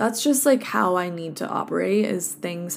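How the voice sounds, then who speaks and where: In a Californian accent, a woman speaks at a fairly quick pace. Her voice sits fairly low and carries vocal fry. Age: 20s. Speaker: health coach podcaster. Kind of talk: casual solo podcast monologue. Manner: relaxed, conversational with fillers.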